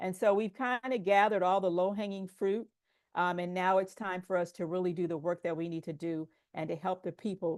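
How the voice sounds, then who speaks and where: In a plain, everyday voice, a woman with a fairly low pitch and fairly even intonation talks at a moderate pace, her sound dry and close with no echo against a quiet background. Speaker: public health presenter. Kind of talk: conference presentation.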